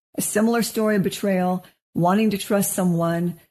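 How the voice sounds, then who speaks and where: Somewhat breathy and dark, mellow in tone, this voice with an American accent carries ordinary pitch variation over a quiet background. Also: woman. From Washington State, US. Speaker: clinical psychologist, podcast co-host. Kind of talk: casual chat.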